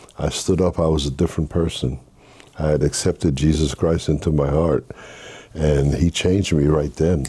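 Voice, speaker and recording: With a very deep, low pitch and vocal fry, a man talks at a moderate pace in a dark, mellow tone, his intonation monotone and flat and his loudness very even. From Haiti, raised in Brooklyn, New York. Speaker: minister. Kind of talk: interview testimony.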